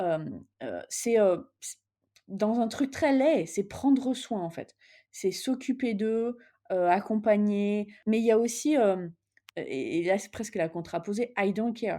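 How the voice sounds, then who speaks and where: In a dark, mellow tone with lively intonation, the speaker goes at a very slow pace on a very clean recording with a silent background. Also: woman, fairly high pitch for a woman. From France, partly raised in the US. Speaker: business executive. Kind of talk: interview. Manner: hesitant, many fillers.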